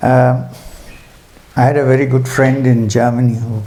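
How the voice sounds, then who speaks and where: Soft-spoken and somewhat breathy, a man talks in a dark, mellow tone at a medium pitch with monotone, flat intonation, and the room echo is audible. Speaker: spiritual teacher. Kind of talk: spiritual talk at a retreat.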